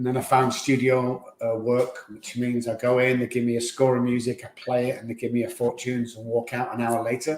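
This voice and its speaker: In a Mancunian accent, a man talks at a fairly quick pace with a medium pitch. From Manchester, England. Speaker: addiction doctor. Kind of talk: testimony.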